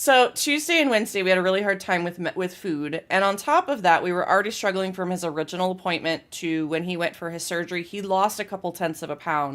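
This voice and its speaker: A woman speaks at a very fast pace and medium pitch, with ordinary pitch variation. The recording is very clean, with a silent background. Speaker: game streamer. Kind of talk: casual chat. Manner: loud.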